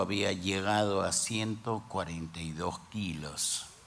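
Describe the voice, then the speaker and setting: At a very slow pace, a man talks with a fairly low pitch and ordinary pitch variation. Audible room echo and noticeable background noise fill the recording. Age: 60s. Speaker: pastor. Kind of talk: sermon.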